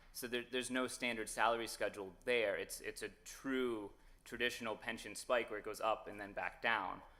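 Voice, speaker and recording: A man speaks loudly at a moderate pace in a medium-pitched, bright, sharp voice with flat, monotone intonation. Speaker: lawyer arguing in court. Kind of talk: oral argument before a court. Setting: courtroom. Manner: hesitant, many fillers.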